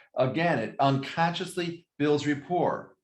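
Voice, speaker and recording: A plain, everyday voice moves at a fairly slow pace. Its intonation stays fairly even. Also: man. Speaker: real estate regional manager. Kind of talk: training class. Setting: video call.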